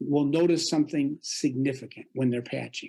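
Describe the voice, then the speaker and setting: Moderate pace and a dark, mellow tone from a man. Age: 60s. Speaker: doctor promoting health patches. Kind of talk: interview monologue. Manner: hesitant, with fillers.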